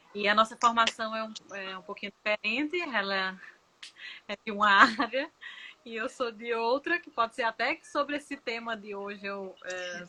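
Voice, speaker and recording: A woman with a bright, sharp tone and a northeastern Brazilian accent, at a moderate pace with ordinary pitch variation. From Northeast Brazil. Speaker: nurse and former lecturer. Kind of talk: casual chat.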